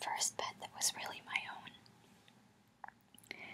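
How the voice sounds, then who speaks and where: Someone whispers over noticeable background noise. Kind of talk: ASMR soft-spoken storytelling to camera. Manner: whispered, soft-spoken.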